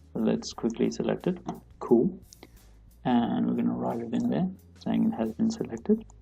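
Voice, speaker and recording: A moderate pace broken by long, frequent pauses, with music in the background. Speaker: student explaining maths. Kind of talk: tutorial. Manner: casual, hesitant.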